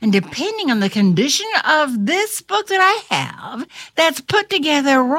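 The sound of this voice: The speaker uses an unforced reading voice. Nothing is strained in the delivery.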